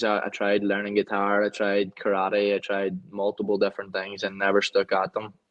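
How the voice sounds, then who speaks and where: A man with a Donegal accent speaks at a moderate pace in a fairly low voice. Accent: Donegal Irish. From Ireland, County Donegal. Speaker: former footballer and country singer. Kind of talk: interview.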